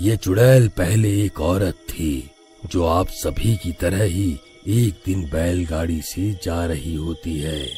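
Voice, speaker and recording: Over clear music in the background, a man uses a cartoonish character voice with a very deep, low pitch at a fairly slow pace. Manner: calm, paternal.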